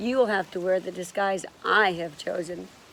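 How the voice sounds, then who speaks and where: A woman puts on a raspy character voice at medium pitch, speaking at a moderate pace with fairly even intonation. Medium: read story. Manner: formal, serious.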